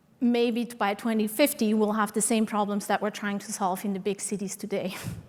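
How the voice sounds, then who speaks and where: The speaker talks in a Swiss accent at a fairly quick pace, with monotone, flat intonation. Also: woman, fairly high pitch for a woman. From Switzerland, Swiss mountains (Sion area). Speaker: transportation consultant. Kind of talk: conference presentation.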